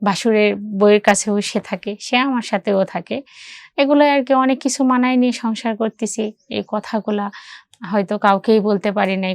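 A woman's fairly high voice with fairly even intonation, dry and close with no echo, in a very clean recording with a silent background. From Bangladesh, Barishal. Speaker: woman telling her personal story. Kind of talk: personal testimony. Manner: halting.

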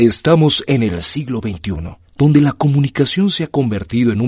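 A somewhat breathy man speaks at a medium pitch and a fairly slow pace. His pitch swings very widely. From Mexico. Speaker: voice-over artist. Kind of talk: scripted narration. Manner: formal.

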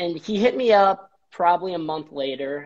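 With an American accent and ordinary pitch variation, a man speaks at a moderate pace over a quiet background. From Chicago suburbs, US Midwest; Illinois. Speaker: treatment center business strategist; interview guest. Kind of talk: casual interview. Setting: office, live video stream. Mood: cheerful, animated storytelling. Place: home room. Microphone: video call.

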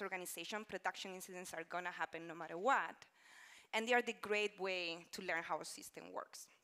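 A speaker with a Spanish accent talks at a fairly quick pace in a bright, sharp tone. The intonation stays fairly even while loudness swings widely. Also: woman, quiet background. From Spain. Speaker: conference speaker, engineering manager; conference speaker. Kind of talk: conference talk. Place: stage. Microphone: lapel.

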